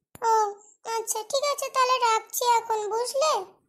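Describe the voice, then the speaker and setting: Putting on a cartoonish character voice, a woman speaks at a moderate pace with an extremely high pitch and fairly even intonation. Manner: sulky and reproachful.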